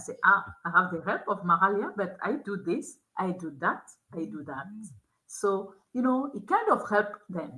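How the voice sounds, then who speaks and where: A woman's voice at a medium pitch, bright and sharp in tone, with a non-native accent. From Togo. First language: not English (English is her third language). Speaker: school admissions officer and youth education nonprofit founder. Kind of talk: interview conversation. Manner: halting, with frequent repetitions.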